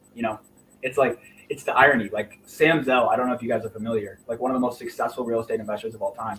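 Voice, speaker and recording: Against noticeable background noise, a man with an American accent talks at a very fast pace in a medium pitch with ordinary pitch variation. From Indiana. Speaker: real estate investor. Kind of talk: interview.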